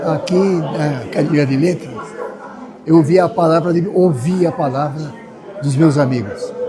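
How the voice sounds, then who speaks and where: Over crowd noise in the background and audible room echo, a man speaks at a fairly high pitch and a fairly slow pace with ordinary pitch variation. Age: 80s+. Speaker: writer and retired judge. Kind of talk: acceptance speech. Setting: academy auditorium event with audience.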